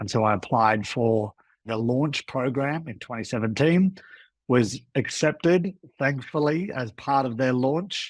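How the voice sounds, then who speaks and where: A man with medium pitch and lively intonation speaks at a fairly slow pace on a very clean recording with a silent background. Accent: Australian. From Australia. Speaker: food tour guide, former lawyer. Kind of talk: podcast interview.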